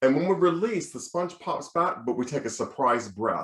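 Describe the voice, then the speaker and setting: An animated man talks with an American accent at a moderate pace. His voice makes very wide pitch swings. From United States. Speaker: choral conductor and music professor. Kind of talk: lecture. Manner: animated, demonstrative.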